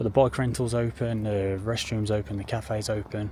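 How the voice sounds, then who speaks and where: Somewhat breathy and fairly low-pitched, a man speaks with an English accent and ordinary pitch variation. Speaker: travel vlogger. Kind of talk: casual vlog chat. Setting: outdoors.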